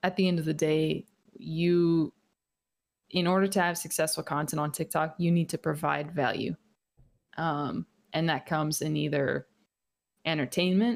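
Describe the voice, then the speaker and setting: Dry and close with no echo, a woman's very deep, low voice moves at a fairly slow pace with fairly even intonation. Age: 20s. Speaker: Twitch streamer. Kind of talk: casual interview chat. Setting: video call. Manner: soft-spoken.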